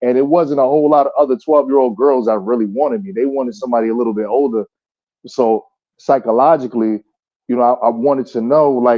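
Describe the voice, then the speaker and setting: Speaking at a very fast pace with a New Jersey accent, a man shows ordinary pitch variation. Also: medium pitch for a man. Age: 30s. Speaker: caller on a live chat panel. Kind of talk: casual chat. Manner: halting, repeats words.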